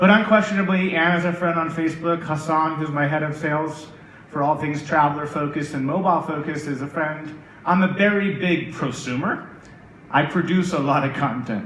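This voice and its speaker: A man with an American accent, fairly high-pitched and fairly quick, with audible room echo and noticeable background noise. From United States. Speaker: tech executive. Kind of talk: conference keynote. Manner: animated.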